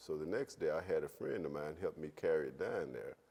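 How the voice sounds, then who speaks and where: A male voice is heard. The delivery runs at a fairly quick pace. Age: 60s. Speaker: entrepreneur and entertainment promoter. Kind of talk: interview.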